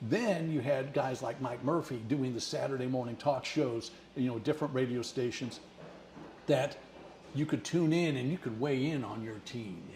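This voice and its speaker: A man with a Midwestern American accent, medium pitch, ordinary pitch variation and a moderate pace. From Missouri, St. Louis area. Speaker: retired broadcaster. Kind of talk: casual chat.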